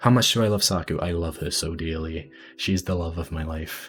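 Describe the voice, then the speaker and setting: Speaking at a moderate pace, a man with a British accent sounds somewhat breathy. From Britain. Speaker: animator giving a convention panel. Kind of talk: convention panel Q&A. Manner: halting, many fillers and repeats.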